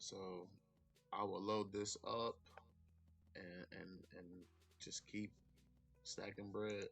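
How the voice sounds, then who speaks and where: Music plays in the background as a man speaks at a very slow pace. His voice is fairly low in pitch, with monotone, flat intonation. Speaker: stock trading YouTuber. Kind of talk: casual tutorial. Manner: casual, repetitive.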